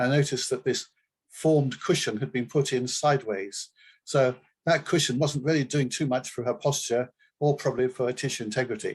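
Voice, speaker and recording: Against a quiet background, a man of medium pitch speaks at a fairly quick pace, somewhat breathy, with fairly even intonation. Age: 70s. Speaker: assistive technology specialist and company founder. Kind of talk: webinar presentation. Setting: online webinar. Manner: conversational, with hesitations.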